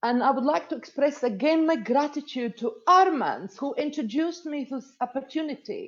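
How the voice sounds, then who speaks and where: The speech runs on with hardly any pauses and a lively intonation. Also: woman, high pitch for a woman. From Latvia. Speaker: network marketing manager. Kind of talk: testimony. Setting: webinar. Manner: slow and clear.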